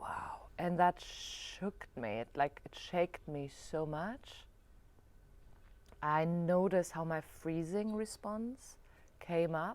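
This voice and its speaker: In a German accent, a woman with a fairly low pitch speaks very slowly with lively intonation. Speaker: yoga and spirituality vlogger. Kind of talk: reflective video diary monologue. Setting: alone in front of camera. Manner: halting, searching for words.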